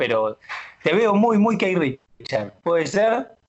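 A man speaks at a very slow pace. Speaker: bank union delegate. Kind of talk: casual radio chat. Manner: halting.

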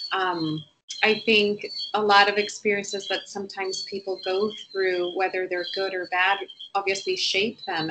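Over noticeable background noise, a woman talks at a moderate pace with a medium pitch. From Puerto Rico. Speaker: bank trader and small business owner. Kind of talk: casual chat.

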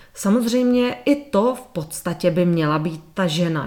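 Speaking at a fairly slow pace, a woman uses an ordinary speaking voice with medium pitch and ordinary pitch variation. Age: 50s. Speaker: natural birth advocate and sex education lecturer. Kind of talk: interview.

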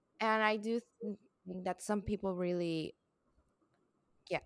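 On a very clean recording with a silent background, a woman with a Puerto Rican accent speaks at a fairly slow pace with fairly even intonation. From Puerto Rico. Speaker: podcast co-host. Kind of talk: casual chat.

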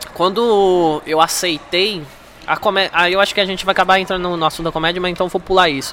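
Over noticeable background noise, a man with a high voice talks very fast with fairly even intonation. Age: 20s. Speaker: stand-up comedian and former taekwondo athlete. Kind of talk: casual chat.

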